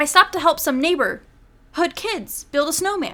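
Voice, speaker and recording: A woman's put-on character voice at an extremely high pitch and moderate pace. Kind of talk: acted film line. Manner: oddly inflected, unnatural delivery.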